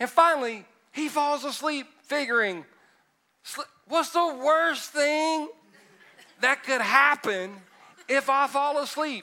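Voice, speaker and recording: A man with a Southern US accent speaks in an extremely high, raised and projected voice with a bright, sharp tone. His pace is very slow, with long, frequent pauses. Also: ordinary pitch variation. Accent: US South. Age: 50s. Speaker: pastor. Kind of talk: sermon. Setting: church. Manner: animated.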